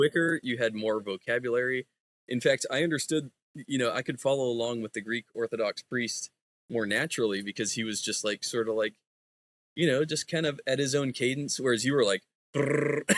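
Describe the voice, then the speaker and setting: Speaking at a fairly quick pace, a man with an American accent uses a normal speaking voice at medium pitch. His pitch variation is ordinary, and the sound is dry and close with no echo. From United States. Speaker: Bible student. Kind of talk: casual chat.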